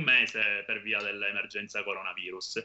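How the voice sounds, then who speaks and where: This speaker has a Sicilian accent and talks at a fairly quick pace. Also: man. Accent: Sicilian Italian. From Monreale, Sicily. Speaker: youth association president. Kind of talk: interview, informative explanation. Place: home room. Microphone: video call.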